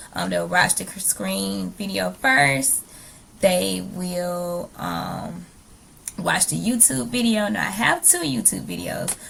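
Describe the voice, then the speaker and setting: Noticeable background noise sits under the recording. A woman speaks at a very slow pace. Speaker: teacher. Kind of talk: recorded presentation. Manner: hesitant, many fillers.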